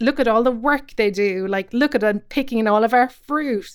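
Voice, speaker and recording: Her voice sits fairly high, and she talks at a moderate pace with ordinary pitch variation. The background is silent in this very clean recording. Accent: Cork. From Ireland, Cobh, County Cork. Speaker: comedian and writer. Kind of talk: casual interview.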